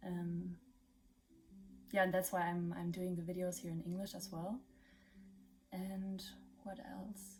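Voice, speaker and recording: With a German accent, a woman speaks fairly slowly in a flat monotone, somewhat breathy, leaving long, frequent pauses. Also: medium pitch for a woman. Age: 20s. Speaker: vlogger. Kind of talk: casual vlog monologue. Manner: halting, many fillers.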